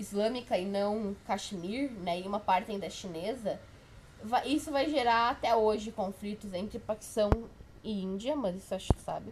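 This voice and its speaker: A woman with a fairly high voice keeps a moderate pace and ordinary pitch variation. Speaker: history tutor. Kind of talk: informal exam review lecture. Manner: casual, halting with self-corrections.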